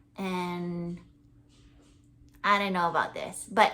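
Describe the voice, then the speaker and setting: Amid audible room echo, a woman with a Hawaiian accent speaks at a fairly slow pace. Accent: Hawaiian American English. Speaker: crochet podcaster. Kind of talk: casual chat. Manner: hesitant, many fillers.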